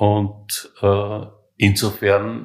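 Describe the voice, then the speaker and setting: The man's voice is fairly low in pitch and somewhat breathy. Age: 70s. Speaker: hospice resident with terminal cancer. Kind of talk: interview. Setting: hospice room. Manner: halting.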